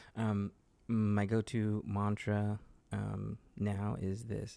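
In a Southern Californian accent, a man talks with a dark, mellow tone, a fairly low pitch and monotone, flat intonation on a very clean recording with a silent background. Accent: Southern California American. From Los Angeles, California. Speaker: actor. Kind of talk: casual interview chat.

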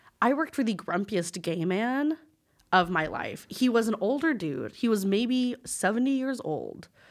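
A woman with a fairly high pitch speaks with an American accent, her pitch swinging very widely. The recording is very clean, with a silent background. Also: moderate pace. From West Texas. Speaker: teacher, former florist shop worker. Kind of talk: casual chat.

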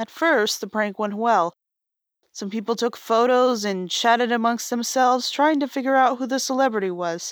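On a very clean recording with a silent background, a woman talks at a moderate pace in an ordinary speaking voice with a fairly high pitch. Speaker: horror story narrator. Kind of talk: true-crime horror narration, read aloud. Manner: grim, measured, deadpan.

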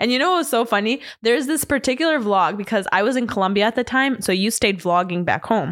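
Speaking very fast with hardly any pauses, a woman uses a fairly high pitch, lively intonation and an animated tone at a very even loudness. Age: 20s. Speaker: podcast co-host. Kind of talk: casual chat. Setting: studio, also streamed live on Instagram.

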